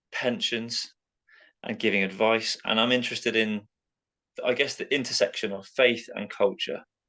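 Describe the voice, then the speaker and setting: A man at medium pitch, bright and sharp in tone, at a moderate pace with long, frequent pauses over a quiet background. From south coast of England. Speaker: podcast co-host. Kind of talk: casual podcast chat.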